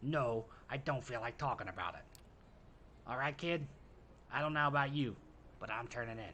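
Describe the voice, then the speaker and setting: A put-on character voice, gravelly and raspy, over clear background noise. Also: man. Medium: solo performance. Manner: gruff, sardonic.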